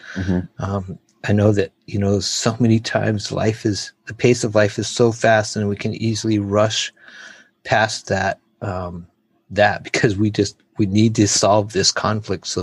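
In a dry, close sound with no echo, a man with an American accent speaks at a fairly slow pace, his fairly low voice somewhat breathy. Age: 50s. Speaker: missionary. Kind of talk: interview testimony.

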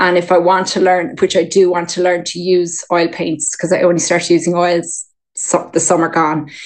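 The woman's fairly low voice stays flat and monotone. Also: moderate pace. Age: 40s. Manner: nervous at start, chatty.

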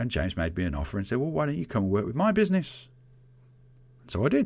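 Talking at a very fast pace in a Birmingham accent, a man sounds somewhat breathy as his pitch swings very widely. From England, Birmingham. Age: 40s. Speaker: podcast host, IT specialist. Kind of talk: solo podcast monologue.

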